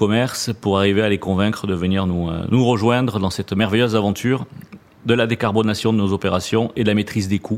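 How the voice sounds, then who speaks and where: Speaking with a southwestern French accent, a man uses a fairly low pitch with ordinary pitch variation. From southwest France, Toulouse region. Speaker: purchasing director. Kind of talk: interview.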